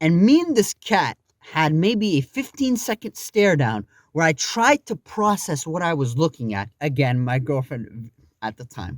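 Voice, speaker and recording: A man's animated, fairly high voice at a fairly slow pace, with very wide pitch swings, big shifts in loudness and a dry, close sound without echo. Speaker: YouTuber. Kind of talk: storytime monologue. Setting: home. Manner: stuttering.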